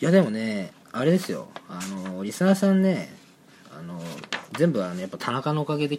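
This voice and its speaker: A fairly high-pitched man at a fairly quick pace, with very wide pitch swings, big shifts in loudness, long, frequent pauses and noticeable background noise. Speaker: student podcast co-host. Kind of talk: casual chat.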